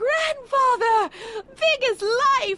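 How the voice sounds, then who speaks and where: A woman's put-on character voice, squeaky and extremely high in pitch. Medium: video game. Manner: prim, imperious.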